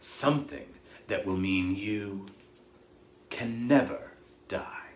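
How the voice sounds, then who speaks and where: A man's put-on character voice at a medium pitch, very slow in pace, with audible echo. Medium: read story. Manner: measured, solemn, quiet.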